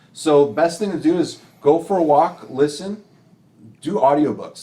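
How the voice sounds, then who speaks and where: Lively intonation marks this speaker with an American accent, heard over noticeable background noise. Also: man. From Illinois, Elgin area. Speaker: real estate investor and coach. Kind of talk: podcast interview. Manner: slow.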